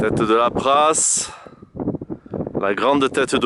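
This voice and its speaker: Speech comes at a very slow pace. Noticeable background noise runs underneath. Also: man. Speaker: hiker filming a summit panorama. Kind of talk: casual on-the-spot narration. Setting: outdoors on a mountain summit. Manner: loud; halting, many fillers.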